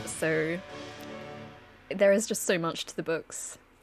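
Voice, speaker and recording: With music in the background, a woman speaks fairly slowly in a fairly low voice with fairly even intonation. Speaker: gaming YouTuber. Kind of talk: casual talk to camera.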